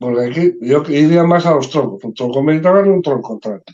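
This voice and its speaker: A man's dark, mellow tone at a moderate pace. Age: 60s. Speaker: poultry federation president. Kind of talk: podcast discussion.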